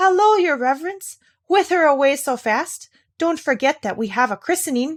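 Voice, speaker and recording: A woman's put-on character voice, high-pitched with very wide pitch swings at a moderate pace. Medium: read story. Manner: amazed, hurried.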